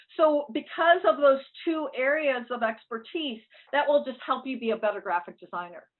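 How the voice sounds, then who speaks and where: Her intonation is lively. The woman's voice sits high in pitch. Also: moderate pace. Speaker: college dean. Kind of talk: online information session presentation.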